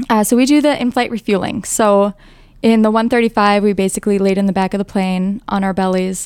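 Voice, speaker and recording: Speaking at a fairly quick pace, a woman uses an unremarkable speaking voice at medium pitch with fairly even intonation. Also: very clean recording, silent background. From northern Wisconsin, US. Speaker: air national guard boom operator. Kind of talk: interview.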